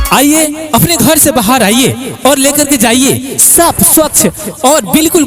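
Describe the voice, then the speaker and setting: Extremely high in pitch, a man sounds energetic in tone with ordinary pitch variation. Noticeable background noise is present. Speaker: announcer. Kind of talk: street advertising announcement. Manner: loud, energetic.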